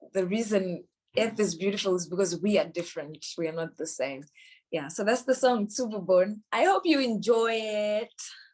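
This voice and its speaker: Speaking with a Zimbabwean accent, a woman uses lively intonation at a medium pitch. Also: moderate pace. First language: Shona. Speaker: musician and poet. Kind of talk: interview talk about her song. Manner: hesitant with fillers.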